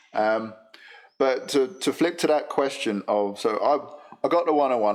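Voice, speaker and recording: A man speaks with a London accent. His pitch varies in an ordinary way. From England, London. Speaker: motorcycle business data analyst. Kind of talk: casual chat.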